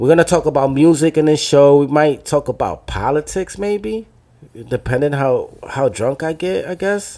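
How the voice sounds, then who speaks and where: A man with a Dominican accent and a dark, mellow tone at a moderate pace, in a very clean recording with a silent background. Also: fairly high pitch for a man, ordinary pitch variation. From New Jersey, Dominican family. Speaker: podcast host, musician. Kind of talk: casual chat. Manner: animated.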